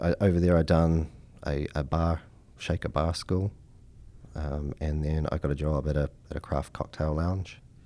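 With a New Zealand accent, a man speaks at a moderate pace in a very deep, low, monotone voice with a dark, mellow tone, leaving long, frequent pauses. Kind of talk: casual interview chat.

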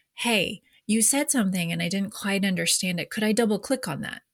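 A somewhat breathy woman at a very fast pace, fairly even intonation, and a very clean recording over a silent background. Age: 40s. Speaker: leadership coach. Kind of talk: casual chat.

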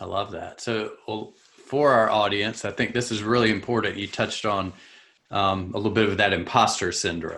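A man with a Southern US accent, fairly low in pitch, with a bright, sharp tone, fairly even intonation, a moderate pace and a very clean recording over a silent background. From US South; South Carolina. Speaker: podcast host. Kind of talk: casual interview.

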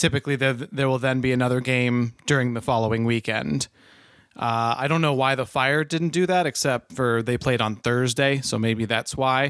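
On a very clean recording with a silent background, a man of medium pitch speaks at a moderate pace with ordinary pitch variation. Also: very even loudness. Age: 20s. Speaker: soccer podcast co-host. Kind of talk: casual chat.

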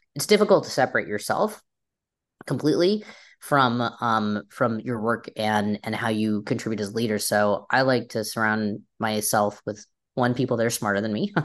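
A woman with an American accent speaks at a moderate pace, her pitch very deep and low. Her intonation stays fairly even against a quiet background. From US Pacific Northwest (Seattle area). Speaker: company CEO. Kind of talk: interview. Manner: halting, many fillers.

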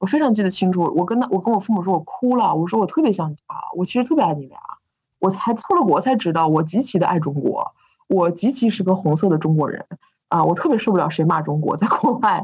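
A woman with a slight northeastern Chinese accent talks at a very fast pace in a medium pitch, her somewhat breathy voice carrying lively intonation. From Northeast China. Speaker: business founder and CEO. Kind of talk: interview.

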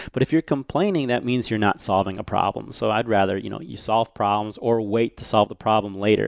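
A plain, everyday voice, a man with an American accent speaks at a fairly quick pace and fairly low pitch, with ordinary pitch variation, hardly any pauses and a dry, close sound with no echo. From US, Chinese American family. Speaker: violinist and speaker. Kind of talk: casual interview chat.

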